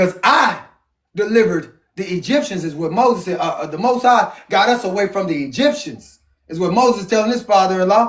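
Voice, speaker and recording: The speech is loud and passionate, with lively intonation at a moderate pace. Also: man. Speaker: Bible study leader. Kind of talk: family Bible reading and preaching. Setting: at home with family. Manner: loud, passionate.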